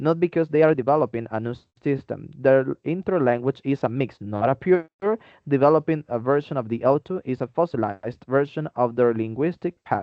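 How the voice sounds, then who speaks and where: Pitched in the medium range, a man with a Spanish accent talks at a fairly quick pace with ordinary pitch variation. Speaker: podcast co-host, English teaching student. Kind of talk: friendly scripted debate.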